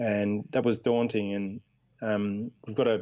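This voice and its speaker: A man with an Australian accent and a fairly low pitch speaks at a fairly slow pace with fairly even intonation against a quiet background. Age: 40s. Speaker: charity co-founder and former army officer. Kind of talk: radio interview. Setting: Skype call. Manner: halting, many fillers.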